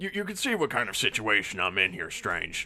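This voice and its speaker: Using a put-on character voice, a man talks raspily at medium pitch and a fairly quick pace. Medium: actual play. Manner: blunt, scolding.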